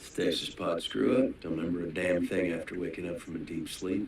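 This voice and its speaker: A raspy, put-on character voice moves at a fairly quick pace. Clear background noise runs underneath. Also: man, very deep, low pitch for a man. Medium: short film. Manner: dry, sardonic.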